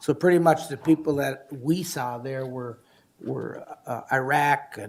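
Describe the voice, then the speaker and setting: Fairly high in pitch, a man talks very slowly with fairly even intonation. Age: 60s. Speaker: county commissioner. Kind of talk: public meeting discussion. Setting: county board meeting.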